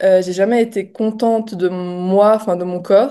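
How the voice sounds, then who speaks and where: Against a quiet background, a woman talks in a medium pitch with a dark, mellow tone and fairly even intonation. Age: 20s. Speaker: coaching client giving testimonial. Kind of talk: testimony interview. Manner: hesitant, many fillers.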